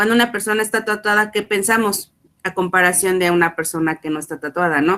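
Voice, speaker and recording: The speaker is a woman at a moderate pace. Her intonation stays fairly even. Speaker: student. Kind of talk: class discussion.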